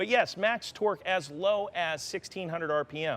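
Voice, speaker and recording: A man speaks at a high pitch for a man, with ordinary pitch variation. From Missouri, US. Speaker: automotive product trainer. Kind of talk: live webcast Q&A. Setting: racetrack. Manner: animated.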